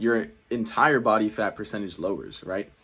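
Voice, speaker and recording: At a moderate pace and medium pitch, a man speaks in a very clean recording with a silent background. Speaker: fitness YouTuber. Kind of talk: casual tutorial. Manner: casual, filler-heavy.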